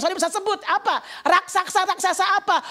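Over noticeable background noise, a woman speaks very fast in a raised, projected voice. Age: 60s. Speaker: lay preacher. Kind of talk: sermon. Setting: church. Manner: animated.

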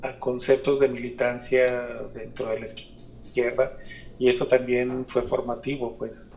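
A man at a medium pitch and very slow pace. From Mexico, Guadalajara. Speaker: artist and curator. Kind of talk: radio interview.

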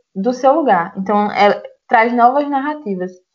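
Her fairly high-pitched voice carries lively intonation as this woman talks. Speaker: podcast host. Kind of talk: casual conversational podcast discussion.

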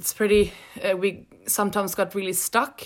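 On a very clean recording with a silent background, a woman with a Swedish accent speaks at a moderate pace and a fairly high pitch. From Sweden. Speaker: graduate student. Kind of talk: interview.

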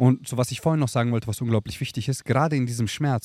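Somewhat breathy, a man speaks in an animated tone. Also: very clean recording, silent background. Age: 30s. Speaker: coach. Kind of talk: casual chat.

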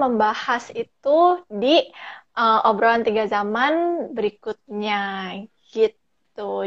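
At a very slow pace, a woman with a fairly high pitch and lively intonation is heard in a dry, close sound with no echo. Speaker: podcast host. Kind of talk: casual chat. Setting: video call. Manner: code-switches English often.

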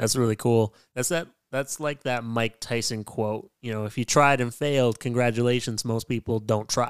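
A man with an unremarkable speaking voice talks at a medium pitch and a moderate pace, with fairly even intonation and hardly any pauses. The sound is dry and close with no echo, on a very clean recording with a silent background. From western Canada. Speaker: podcast host, poet and spoken word artist. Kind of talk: casual interview chat.

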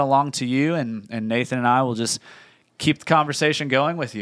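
Here is a man with a plain, everyday voice, fairly high in pitch, talking at a moderate pace with ordinary pitch variation on a very clean recording with a silent background. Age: 30s. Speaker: church podcast host. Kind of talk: casual chat.

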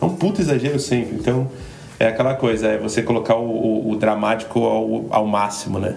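Fairly quick speech with noticeable background noise and audible room echo. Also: man. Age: 30s. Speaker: podcast co-host. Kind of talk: casual chat.

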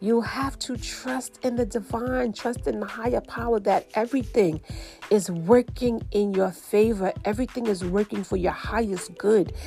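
A woman with a New York accent speaks at a fairly high pitch in an animated tone, with ordinary pitch variation. Her pace is moderate, and background noise is noticeable. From New York City. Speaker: spiritual podcast host. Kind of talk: casual monologue.

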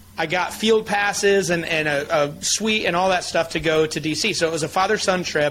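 With noticeable background noise, a man with an American accent speaks at a high pitch and moderate pace with ordinary pitch variation. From Michigan, US. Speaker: chiropractic advocacy leader. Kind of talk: interview storytelling. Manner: animated.

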